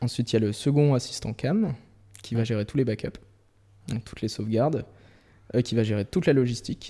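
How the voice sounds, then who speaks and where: A man's medium-pitched voice with a dark, mellow tone and ordinary pitch variation, at a fairly quick pace broken by long, frequent pauses. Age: 20s. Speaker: first camera assistant. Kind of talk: casual chat.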